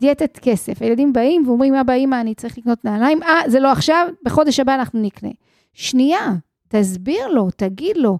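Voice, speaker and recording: Pitched high with lively intonation, a woman speaks at a fairly quick pace. The sound is dry and close with no echo, on a very clean recording with a silent background. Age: 50s. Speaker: financial coach and podcast host. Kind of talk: solo podcast monologue.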